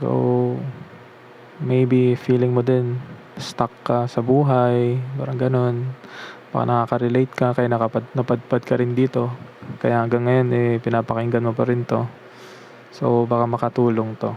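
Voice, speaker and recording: Against noticeable background noise, a man with a medium-pitched voice talks in a monotone, flat way, leaving long, frequent pauses. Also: moderate pace. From Philippines. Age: 20s. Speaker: self-taught beginner developer. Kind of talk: casual vlog talk, Taglish. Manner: reflective, hesitant.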